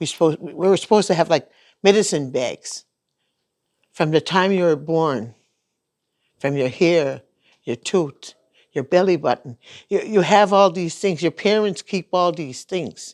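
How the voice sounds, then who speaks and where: With a Maritime Canadian accent, a woman speaks at a moderate pace with a fairly low pitch, ordinary pitch variation and long, frequent pauses. The recording is very clean with a silent background and a dry, close sound with no echo. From Cape Breton, Nova Scotia (Membertou). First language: Mi'kmaq. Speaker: elder. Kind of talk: interview. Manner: halting, hesitant.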